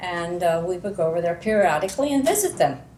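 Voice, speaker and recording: Audible room echo colors the fairly low voice of a woman with an American accent. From US Northeast, Pennsylvania. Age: 80s+. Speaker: local resident, oral history interviewee. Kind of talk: oral history interview.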